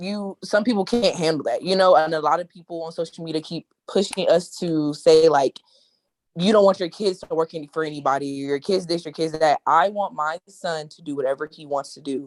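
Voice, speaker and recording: At a fairly quick pace, a woman talks in an unremarkable speaking voice with fairly low pitch and fairly even intonation, the sound dry and close with no echo. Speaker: mom entrepreneur, trucking business owner. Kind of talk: casual panel discussion.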